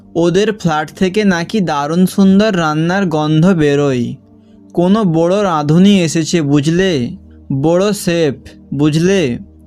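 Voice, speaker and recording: With music in the background, a man speaks in a high voice with ordinary pitch variation. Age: 20s. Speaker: amateur storyteller. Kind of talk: read short story with dialogue.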